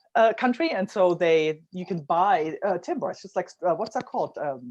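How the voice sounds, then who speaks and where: A non-native accent at a moderate pace. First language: not English. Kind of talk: casual chat. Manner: halting, many fillers.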